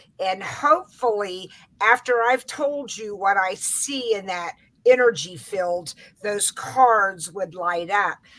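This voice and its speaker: A woman's bright, sharp tone at a very slow pace. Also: big swings in loudness. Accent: American. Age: 60s. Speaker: psychic aura reader. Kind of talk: interview.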